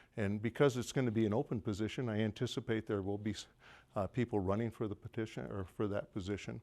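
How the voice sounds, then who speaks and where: A man with a fairly low pitch talks at a fairly quick pace with fairly even intonation in a very clean recording with a silent background. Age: 60s. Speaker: judge. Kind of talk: press conference statement. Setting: press conference at a law office. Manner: halting, many fillers.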